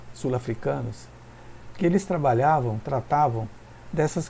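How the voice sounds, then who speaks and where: His intonation lively, a man talks at a moderate pace. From Brazil, São Paulo. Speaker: pastor. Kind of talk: sermon. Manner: halting.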